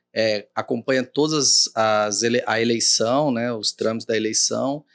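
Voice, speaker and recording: A man with a Cuiabá accent, medium pitch and fairly even intonation at a fairly slow pace, in a very clean recording with a silent background and a dry, close sound with no echo. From Mato Grosso, Brazil (Cuiabá). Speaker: judge. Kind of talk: interview.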